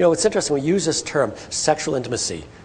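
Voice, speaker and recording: A man's fairly high-pitched voice amid noticeable background noise. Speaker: professor giving a health talk. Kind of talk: public lecture to patients and partners. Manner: animated, can speed up when excited.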